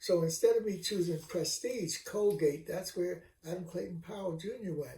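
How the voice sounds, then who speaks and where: A man talks at a moderate pace in a high pitch. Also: ordinary pitch variation. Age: 80s+. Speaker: retired professor. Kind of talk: casual chat. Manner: halting.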